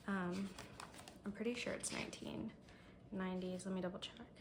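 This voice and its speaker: Somewhat breathy and at a medium pitch, a woman speaks with audible room echo. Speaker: booktuber. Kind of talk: reading vlog. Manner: hesitant, filler-heavy.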